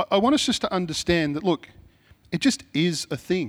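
Pitch swings very widely in a strong Australian accent, delivered at a moderate pace. The recording is very clean with a silent background, and the sound is dry and close with no echo. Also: man. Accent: broad Australian. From Sydney, Mount Druitt (western Sydney), Australia. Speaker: pastor. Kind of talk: sermon. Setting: church. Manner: casual, conversational with fillers.

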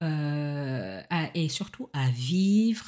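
A woman's somewhat breathy voice, dark and mellow in tone, in a very clean recording with a silent background. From Senegal. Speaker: podcast host. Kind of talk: spiritual teaching monologue.

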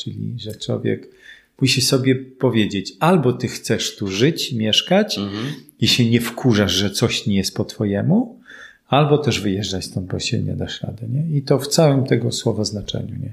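Using vocal fry, a man speaks at medium pitch and a moderate pace with ordinary pitch variation. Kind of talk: casual interview.

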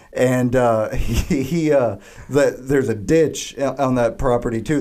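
A man's medium-pitched voice with fairly even intonation, over noticeable background noise. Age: 20s. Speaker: flooring salesman and podcast co-host. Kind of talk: casual chat. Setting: studio.

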